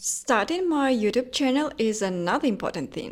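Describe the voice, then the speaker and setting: Lively intonation runs through a woman's speech with a non-native accent. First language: not English. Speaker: lifestyle vlogger. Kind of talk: personal reflection vlog.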